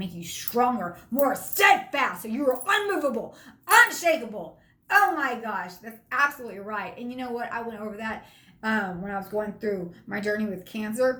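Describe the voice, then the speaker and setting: Room echo can be heard around the voice. The woman's pitch sits fairly high. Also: big swings in loudness. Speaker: motivational speaker. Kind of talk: motivational talk. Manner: fast; animated.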